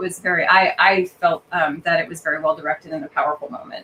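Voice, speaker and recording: A woman with a General American accent and medium pitch talks at a fairly quick pace over noticeable background noise. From Colorado. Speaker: actress and opera singer. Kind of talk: interview. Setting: live podcast. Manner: hesitant, many fillers.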